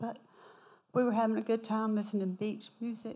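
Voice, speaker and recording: Speaking in a Southern US accent, a woman has a fairly high pitch, a dark, mellow tone, some breathiness and monotone, flat intonation. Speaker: church member. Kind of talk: testimony. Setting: church.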